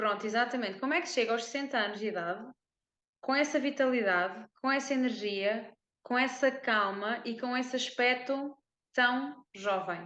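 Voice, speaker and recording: A woman with a high pitch, a bright, sharp tone and a European Portuguese accent, at a moderate pace with ordinary pitch variation. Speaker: podcast host and wellness coach. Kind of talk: interview conversation.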